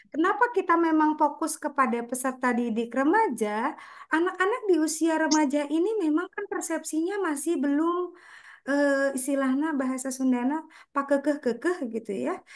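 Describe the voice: Pitch varies in an ordinary way as the speech proceeds at a moderate pace. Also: woman, high pitch for a woman.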